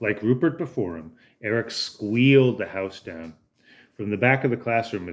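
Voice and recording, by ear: The speaker reads aloud in a natural voice and keeps to ordinary pitch variation.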